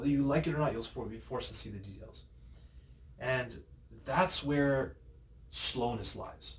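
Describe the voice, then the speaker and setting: A man speaks with long, frequent pauses and big swings in loudness. Audible room echo surrounds his voice. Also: moderate pace. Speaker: youtuber vlogger. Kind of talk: casual vlog monologue. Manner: hesitant with fillers and self-corrections.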